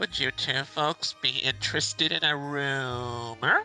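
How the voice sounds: A put-on character voice in a low-to-middle pitch moves at a fairly slow pace over clear music in the background.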